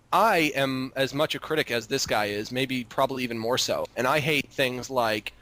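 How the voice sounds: Fairly even intonation marks this natural reading voice.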